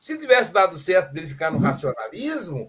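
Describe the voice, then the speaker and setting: The speaker is male. His voice rises and falls across a very wide pitch range. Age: 60s. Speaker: philosophy teacher and psychoanalyst. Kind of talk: casual chat.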